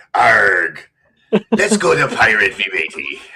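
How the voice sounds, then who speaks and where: A put-on character voice from a man, delivered at a fairly slow pace. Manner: playful, exaggerated.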